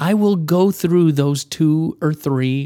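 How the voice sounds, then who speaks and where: A man's fairly high, dark, mellow voice with a Midwestern American accent at a very slow pace, dry and close with no echo, in a very clean recording with a silent background. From US Midwest, Michigan. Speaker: co-author and researcher. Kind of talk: casual interview.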